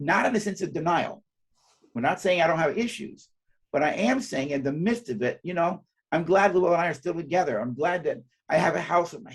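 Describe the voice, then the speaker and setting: A man speaks at a fairly quick pace with lively intonation. His pitch sits high for a man. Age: 60s. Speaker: psychologist and speaker. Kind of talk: interview. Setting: live webcast.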